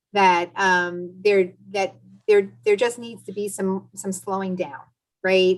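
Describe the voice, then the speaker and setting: A woman with an American accent in an ordinary speaking voice, medium in pitch, with fairly even intonation at a fairly slow pace. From US East Coast. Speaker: marketing executive. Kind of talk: panel discussion. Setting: video call.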